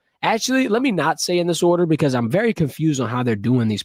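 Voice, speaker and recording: The speech runs at a very fast pace. The sound is dry and close with no echo, in a very clean recording with a silent background. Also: man. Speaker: sports show host. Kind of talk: casual sports talk on a live stream. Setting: live stream.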